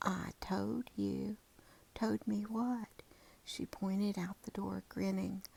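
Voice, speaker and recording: The voice is soft-spoken and moves at a very slow pace. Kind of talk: read story.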